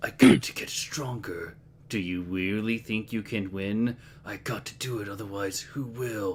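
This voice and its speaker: A man's cartoonish character voice, fairly low in pitch, at a moderate pace over clear background noise. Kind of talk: stock dramatic anime lines. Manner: monotone, flat.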